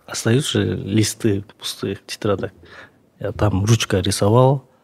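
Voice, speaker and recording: A man's medium-pitched voice shows ordinary pitch variation as he talks at a fairly slow pace. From Kyrgyzstan, Naryn. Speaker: sculptor. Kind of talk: interview.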